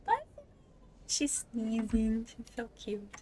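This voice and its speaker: Against noticeable background noise, a woman with a fairly high pitch speaks at a very slow pace. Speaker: streamer, VTuber. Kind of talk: casual live-stream chat while gaming. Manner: soft-spoken; chatty, with many fillers.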